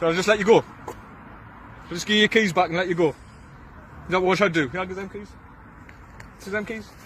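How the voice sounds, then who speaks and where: In a Geordie accent, a man with a high pitch for a man talks at a very fast pace, broken by long, frequent pauses, with fairly even intonation, big swings in loudness and noticeable background noise. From northeast England (Tyneside). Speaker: vigilante group confronter. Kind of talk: confrontation. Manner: talkative.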